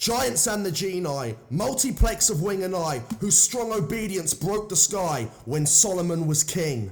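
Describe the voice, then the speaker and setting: A somewhat breathy man's voice, fairly slow, with very wide pitch swings. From southern England. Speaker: poetry reader. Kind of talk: reading aloud.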